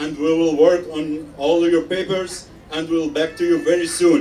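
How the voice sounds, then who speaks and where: A man with a high-pitched voice talks at a fairly slow pace with ordinary pitch variation. Noticeable background noise runs under his speech. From Syria. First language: Arabic (speaking German). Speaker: refugee. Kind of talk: rally speech. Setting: outdoor rally with crowd. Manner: halting.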